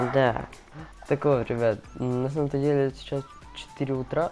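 A man talks while music plays in the background. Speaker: gaming let's player. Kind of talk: casual gaming commentary.

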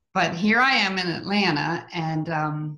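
Against a quiet background, a woman speaks with a fairly low pitch and ordinary pitch variation. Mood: warm, chatty, anecdotal. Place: home room. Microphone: video call.

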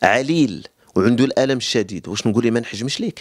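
A man with a Moroccan accent at a moderate pace, his pitch swinging very widely, in a dry sound with no echo over a quiet background. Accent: Moroccan Arabic (Darija). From Morocco. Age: 30s. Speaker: cupping therapist. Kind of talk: interview explanation. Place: home room. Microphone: handheld.

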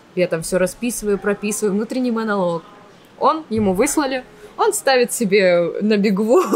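A woman speaks with ordinary pitch variation at a moderate speed while light background noise is present. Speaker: actress and blogger; actress, blogger. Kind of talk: casual interview. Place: cafe. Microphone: studio mic.

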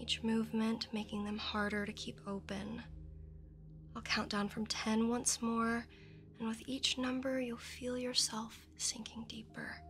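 A soft-spoken woman talks in a soothing tone. Light background noise can be heard. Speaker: hypnotist guide. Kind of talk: guided hypnosis induction. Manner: soft, slow, soothing ASMR voice. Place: studio.

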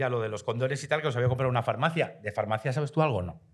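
A somewhat breathy man at a very fast pace, lively intonation, quiet background. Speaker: podcast host. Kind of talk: casual chat. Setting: stage with audience. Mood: playful, joking. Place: studio. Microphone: studio mic.

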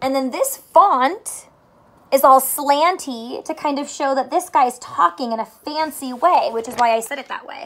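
At a fairly slow pace, a woman speaks in a high, fairly bright voice with ordinary pitch variation.

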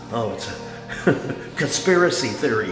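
A man's voice with clear music in the background. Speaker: local music page host. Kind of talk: casual vlog chat. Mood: amused, laughing often. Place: bathroom. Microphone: phone near.

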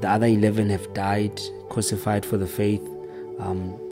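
A man speaks at a moderate pace. Clear music plays in the background. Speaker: preacher. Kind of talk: sermon. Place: home room. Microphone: studio mic.

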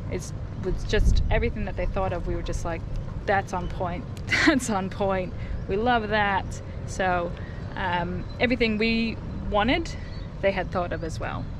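A woman talks at a moderate pace with long, frequent pauses. Background noise is noticeable. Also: ordinary pitch variation, dry sound with no echo. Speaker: vlogger. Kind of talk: casual vlog chat, boat tour. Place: boat. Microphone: phone near.

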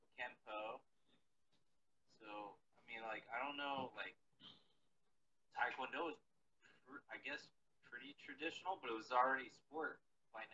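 A man's voice with big swings in loudness, long and frequent pauses, and light background noise. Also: moderate pace. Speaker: remote guest. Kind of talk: interview answer. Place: garage. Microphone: video call.

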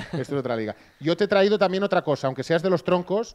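This man's voice has an animated tone and lively intonation. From Catalonia. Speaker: sports streamer and journalist; stream host. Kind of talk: casual live stream chat. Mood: jokey, friendly. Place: home room. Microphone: handheld.

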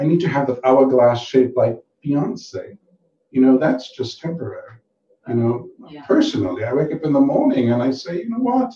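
A man talks at a fairly quick pace in a fairly high, somewhat breathy voice. His intonation is lively and his loudness swings widely. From Caribbean. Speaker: banker and youth mentor. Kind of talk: talk show interview.

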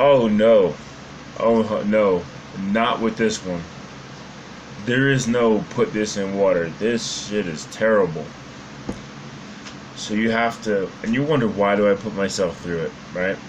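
A man speaks fairly slowly at a fairly low pitch, with ordinary pitch variation. Long, frequent pauses break his speech, and background noise is noticeable. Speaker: fitness vlogger. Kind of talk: casual vlog chat. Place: home room.

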